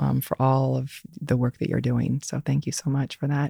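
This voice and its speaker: Spoken at a moderate pace with an American accent, the recording is very clean with a silent background. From Indiana, US Midwest. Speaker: executive coach and author. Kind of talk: casual interview. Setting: studio.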